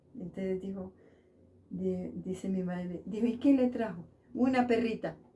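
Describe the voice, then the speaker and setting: A woman speaks at a medium pitch with a dark, mellow tone and a somewhat breathy quality. Her pace is fairly slow, and her pitch varies in an ordinary way. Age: 80s+. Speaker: elderly local resident, seamstress. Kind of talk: interview, personal life story. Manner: halting, many fillers.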